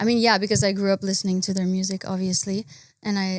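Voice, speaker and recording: A woman at medium pitch with a Quebec accent, very fast pace and fairly even intonation, on a very clean recording with a silent background. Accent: French Canadian accent in English. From Quebec / French Canada. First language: French. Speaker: singer-songwriter. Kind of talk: casual interview.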